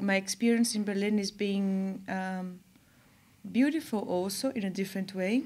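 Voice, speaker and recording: A woman with a medium pitch and ordinary pitch variation sounds somewhat breathy. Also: moderate pace. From Brazil (São Paulo) and Germany. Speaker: artist and curator. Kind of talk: interview. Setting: studio. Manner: halting.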